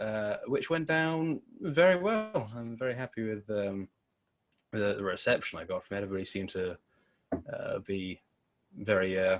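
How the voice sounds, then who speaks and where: In a Devon accent, a man talks at a moderate pace with long, frequent pauses. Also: medium pitch for a man, lively intonation. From Devon, England (Torbay). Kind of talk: podcast interview. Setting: in person. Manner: casual, hesitant with many fillers.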